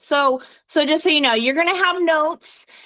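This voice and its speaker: A woman speaks in a raised, projected voice. Her pace is moderate, with ordinary pitch variation. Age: 40s. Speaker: direct sales team leader and trainer. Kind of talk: team training call. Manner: animated.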